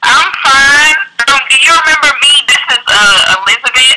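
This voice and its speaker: Over noticeable background noise, a woman uses a raised, projected voice at a high pitch with very wide pitch swings. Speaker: caller. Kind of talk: call-in question. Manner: halting, hesitant.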